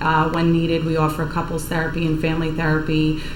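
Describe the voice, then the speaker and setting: A woman speaks with a Long Island accent at a fairly low pitch, her intonation monotone and flat. Audible room echo and noticeable background noise surround her. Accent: Long Island New York. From Long Island, New York. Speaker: addiction treatment program director. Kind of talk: TV interview. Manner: hesitant, many ums.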